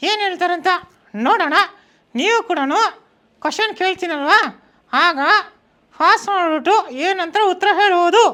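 A put-on character voice at a fairly slow pace, on a very clean recording with a silent background. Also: man, extremely high pitch for a man.

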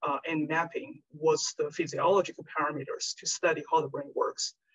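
A woman speaks with a Chinese accent. She keeps a moderate pace. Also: quiet background. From China. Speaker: research scientist. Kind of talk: lecture; Q&A answer. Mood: friendly, thoughtful. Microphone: video call.

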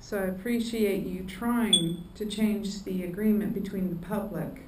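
A woman's medium-pitched voice at a slow pace, with fairly even intonation and audible room echo.

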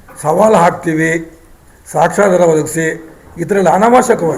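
A man's high-pitched voice with ordinary pitch variation, noticeable background noise and audible room echo. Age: 70s. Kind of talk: press conference statement. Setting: press conference.

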